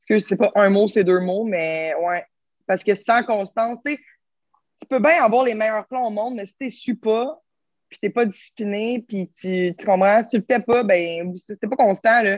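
A Quebec accent at a fairly slow pace, with big swings in loudness, ordinary pitch variation, and a dry, close sound with no echo. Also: woman, fairly high pitch for a woman. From Quebec, Terrebonne. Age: 20s. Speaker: fitness coach. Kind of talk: casual chat.

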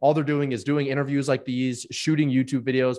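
A man's medium-pitched voice at a very fast pace against a quiet background. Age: 20s. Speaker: business founder and CEO. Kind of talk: interview. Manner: casual, laughing.

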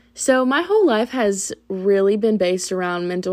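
The woman speaks at a fairly slow pace. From Tennessee, small town. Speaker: podcast host, psychology student. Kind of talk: casual monologue.

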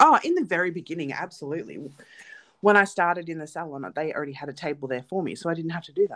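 Speaking at a very fast pace with an Australian accent, a woman with a fairly low voice shows ordinary pitch variation and big swings in loudness. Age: 30s. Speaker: nail technician and podcast co-host. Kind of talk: casual chat.

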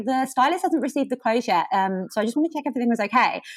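A woman speaks in a southeast English accent. Her pitch swings very widely. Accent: south-east English. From Kent, south-east England. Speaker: communications professional. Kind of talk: interview. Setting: remote call.

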